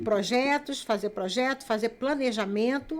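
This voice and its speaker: Her intonation fairly even, a woman speaks. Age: 60s. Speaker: writer and missionary. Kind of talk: casual chat.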